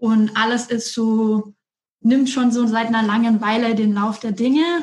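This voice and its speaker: Somewhat breathy and fairly high, a woman's voice moves at a fairly slow pace in a flat monotone. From Franconia, Germany (Erlangen). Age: 30s. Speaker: coach and strategy manager. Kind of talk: interview.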